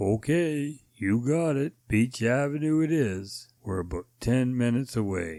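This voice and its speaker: A man's put-on character voice at medium pitch, with lively intonation, a fairly slow pace and hardly any pauses. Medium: read story.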